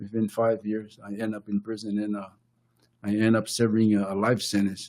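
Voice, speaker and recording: A man with a Samoan accent, medium in pitch, at a moderate pace. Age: 60s. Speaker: podcast co-host and author. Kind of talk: casual conversation. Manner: halting.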